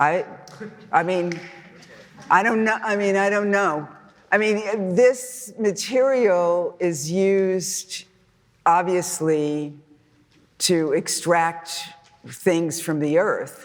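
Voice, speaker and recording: A woman with an American accent speaks at a very slow pace, with long, frequent pauses and medium pitch showing ordinary pitch variation. Audible room echo surrounds her voice. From US West Coast, Los Angeles. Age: 70s. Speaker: artist. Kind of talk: audience Q&A. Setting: lecture hall with audience. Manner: halting.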